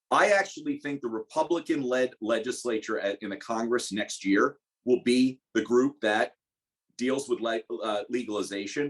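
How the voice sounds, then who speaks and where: Here is a man with an unremarkable speaking voice at medium pitch. The sound is dry and close with no echo. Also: ordinary pitch variation, moderate pace. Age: 40s. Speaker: cannabis industry lawyer and panelist. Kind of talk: webinar panel discussion.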